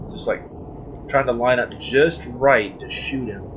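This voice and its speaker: There is noticeable background noise as a man at a medium pitch talks at a moderate pace. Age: adult. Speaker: let's play gamer. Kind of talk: gameplay commentary. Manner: animated.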